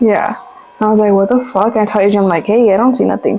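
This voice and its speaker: A woman talks at a medium pitch with ordinary pitch variation as music plays behind her. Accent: Spanish. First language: Spanish. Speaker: YouTuber. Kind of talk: casual chat.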